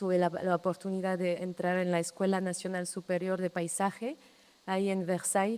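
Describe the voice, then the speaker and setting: A woman's medium-pitched voice, dark and mellow, with a French accent. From France, Brittany. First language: French (speaking Spanish). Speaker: landscape architect. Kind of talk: public talk. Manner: halting, many repetitions.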